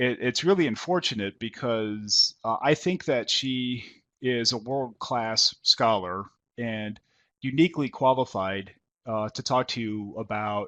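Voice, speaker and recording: With an American accent and a medium pitch, a man talks at a fairly slow pace with ordinary pitch variation against a quiet background. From New York. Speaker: professor. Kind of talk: lecture. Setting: webinar call.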